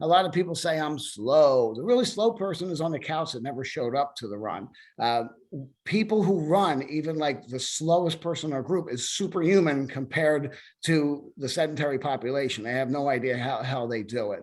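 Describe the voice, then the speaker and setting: A man talks in a normal speaking voice at a fairly high pitch. His intonation is lively. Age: 60s. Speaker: running club president. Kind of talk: webinar presentation. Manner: casual, with many fillers.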